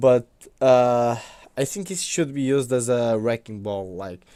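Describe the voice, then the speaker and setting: A man's medium-pitched voice with a non-native accent and a dark, mellow tone, ordinary in pitch variation, at a very slow pace, in a very clean recording with a silent background. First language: not English. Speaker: wrestling YouTuber. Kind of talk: casual commentary vlog. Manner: hesitant, many fillers.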